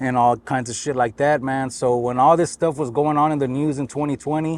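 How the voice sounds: Here a man talks at a fairly quick pace and medium pitch. His voice has little pitch movement.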